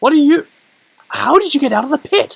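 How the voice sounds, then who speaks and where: A put-on character voice, gruff and high-pitched, rattles along at a fairly quick pace. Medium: read story. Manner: gruff, blunt.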